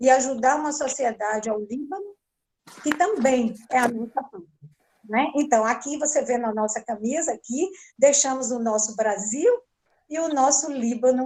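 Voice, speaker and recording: A woman with a high pitch talks at a moderate pace, with ordinary pitch variation and big swings in loudness. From Brazil, Salvador da Bahia. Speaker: volunteer with Brazilian women's group abroad. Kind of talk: testimony in live online talk.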